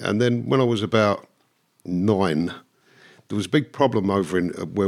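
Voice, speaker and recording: Speaking with a London accent, a man uses a very deep, low pitch at a moderate pace with ordinary pitch variation, in a very clean recording with a silent background. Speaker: former bank robber. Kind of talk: casual chat.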